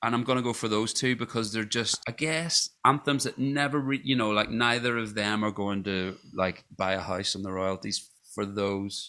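Speaking in a Scottish accent with hardly any pauses, a man keeps a moderate pace, a fairly low pitch, ordinary pitch variation and a bright, sharp tone. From Scotland. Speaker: podcast co-host and musician. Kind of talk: casual chat.

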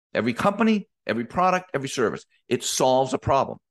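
A man with fairly high pitch, vocal fry and very wide pitch swings, against a quiet background. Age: 50s. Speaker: business coach podcast host. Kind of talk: motivational solo podcast monologue. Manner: animated.

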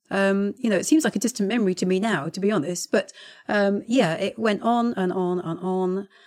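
A woman speaks in a plain, everyday voice. The recording is very clean, with a silent background. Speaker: head gardener and podcast co-host. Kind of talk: casual chat.

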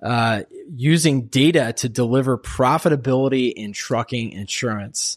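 A man speaks at a medium pitch with ordinary pitch variation, in an unremarkable speaking voice, on a very clean recording with a silent background. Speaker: podcast host. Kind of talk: interview podcast, conversational. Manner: upbeat, friendly.

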